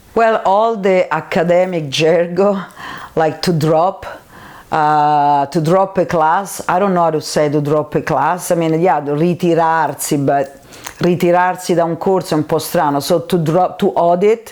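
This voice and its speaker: A woman with a strong Roman accent speaks at a fairly slow pace, her pitch fairly low, her intonation fairly even and her loudness very even. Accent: strong Roman Italian. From Italy, Rome. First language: Italian. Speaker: Italian teacher. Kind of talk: interview.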